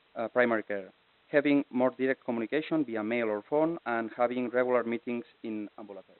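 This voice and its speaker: At a very fast pace, a man speaks at medium pitch with fairly even intonation and big swings in loudness. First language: Catalan or Spanish. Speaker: internal medicine physician. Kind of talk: conference presentation. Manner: halting, many fillers.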